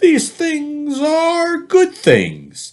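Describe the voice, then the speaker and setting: A man puts on a character voice pitched extremely high. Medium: read story. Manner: breezy, showy.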